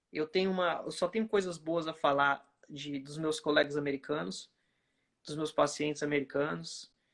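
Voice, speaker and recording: A man with a strong Brazilian accent, fairly high pitch, ordinary pitch variation and a moderate pace. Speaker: oncology physician. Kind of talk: casual chat.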